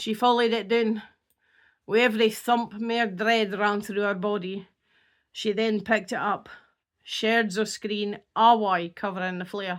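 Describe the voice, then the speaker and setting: On a very clean recording with a silent background, a woman with a North East Scottish accent speaks fairly slowly in a flat, monotone way at a fairly high pitch. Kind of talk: horror story reading.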